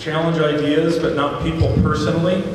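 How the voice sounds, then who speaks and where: Speaking at a moderate pace, a man has a fairly high pitch. Strong room echo and noticeable background noise surround his voice. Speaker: town hall facilitator. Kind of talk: event moderation. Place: stage.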